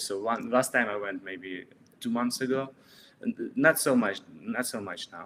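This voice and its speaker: Speaking with a Russian accent, a man holds a medium pitch, ordinary pitch variation, and a moderate pace. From Russia, Saint Petersburg. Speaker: street artist. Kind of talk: interview. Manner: halting.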